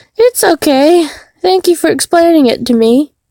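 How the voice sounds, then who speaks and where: A woman's put-on character voice, squeaky and extremely high, at a moderate pace with very wide pitch swings. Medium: game stream. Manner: polite, friendly.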